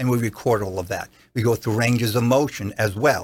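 A man with a New Jersey accent speaks with fairly even intonation on a very clean recording with a silent background. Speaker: doctor. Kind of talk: casual interview. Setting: studio.

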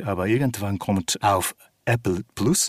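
The speaker has a Japanese accent and ordinary pitch variation. The recording is very clean, with a silent background. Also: man. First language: Japanese (speaking German). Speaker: actor and opera singer. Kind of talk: interview.

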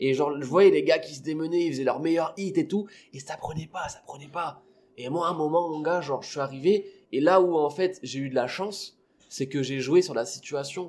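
In a normal speaking voice, a man talks at a moderate pace with a fairly high pitch, ordinary pitch variation and big swings in loudness. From La Réunion. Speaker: stand-up comedian. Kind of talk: casual chat.

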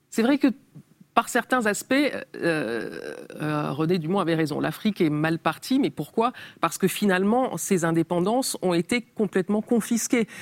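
A woman talks at a medium pitch and a fairly slow pace, her pitch swinging very widely. The sound is dry and close with no echo. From Cameroon (Yaoundé area), with French mother. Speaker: journalist and writer. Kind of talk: interview. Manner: hesitant, many fillers.

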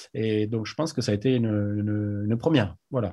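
A man talks in a normal speaking voice at a medium pitch. His pitch varies in an ordinary way, and his pace is moderate. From France, Agen. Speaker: rugby club president. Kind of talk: interview.

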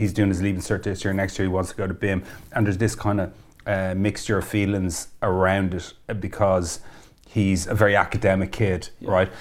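This man talks at a moderate pace with an Irish accent. His pitch sits fairly low. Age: 40s. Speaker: podcast host. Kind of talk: casual interview chat. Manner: animated, excitable.

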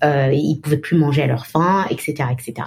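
Pitch varies in an ordinary way at a moderate speed. There is a somewhat breathy quality to the voice. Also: woman. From Benin, Cotonou. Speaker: marketing executive. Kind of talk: interview. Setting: remote call.

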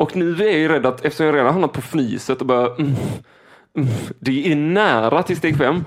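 Here is a man with an ordinary speaking voice, pitched fairly high. His loudness stays very even, with ordinary pitch variation. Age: 20s. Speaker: podcast co-host. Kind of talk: casual chat.

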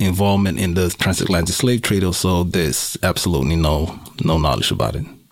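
A man's voice against noticeable background noise. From Suriname. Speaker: hip-hop artist and filmmaker. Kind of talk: panel discussion.

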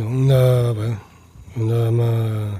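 Somewhat breathy and dark, mellow in tone, a man speaks at a very slow pace. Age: 30s. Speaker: father telling his story. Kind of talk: testimony. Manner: reserved, opens up gradually.

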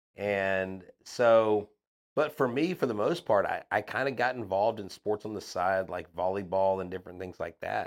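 With an American accent, a man in an unremarkable speaking voice talks at a moderate pace, his fairly low pitch showing ordinary variation, on a very clean recording with a silent background. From Houston area, Texas (Crosby). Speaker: sports podcaster and teacher. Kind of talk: casual interview chat.

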